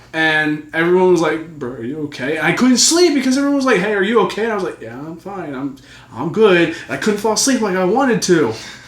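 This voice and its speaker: Over noticeable background noise and audible room echo, a man with a high voice talks at a fairly quick pace. His pitch swings very widely, and his loudness rises and falls sharply. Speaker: youtuber and podcast co-host. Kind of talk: casual chat. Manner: stuttering.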